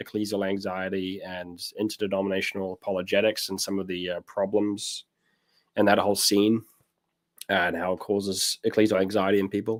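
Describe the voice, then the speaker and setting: A man's fairly low, monotone voice with a New Zealand accent, flat in intonation, at a moderate pace, in a very clean recording with a silent background. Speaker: pastor. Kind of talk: casual chat.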